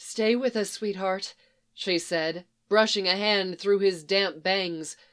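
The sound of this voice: Over a quiet background, the intonation stays fairly even in an unforced reading voice.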